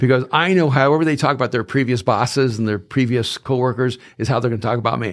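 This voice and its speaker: Speaking at a very fast pace, a man with a medium pitch and ordinary pitch variation is heard in a very clean recording with a silent background. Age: 60s. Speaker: business owner. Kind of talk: interview.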